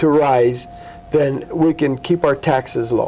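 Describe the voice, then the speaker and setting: A man speaks with a fairly high pitch and ordinary pitch variation over noticeable background noise. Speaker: city mayor. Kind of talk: TV interview. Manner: fast.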